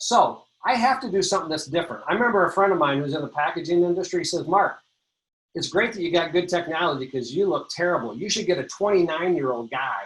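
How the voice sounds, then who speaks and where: The voice swings very widely in pitch, sounds animated, and races along at a very fast pace. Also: man. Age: 60s. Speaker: industry speaker presenting on print design. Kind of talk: webinar presentation.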